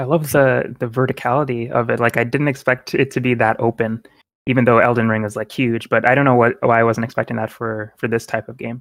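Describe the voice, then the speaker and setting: The pace is very fast. The intonation is monotone and flat. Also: man, medium pitch for a man. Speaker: video game podcast co-host and artist. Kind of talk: casual chat.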